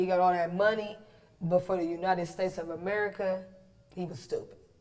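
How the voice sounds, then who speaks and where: Noticeable background noise can be heard. Over it, the talking goes at a fairly quick pace. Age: 30s. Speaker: podcast co-host. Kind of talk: casual chat. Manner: animated.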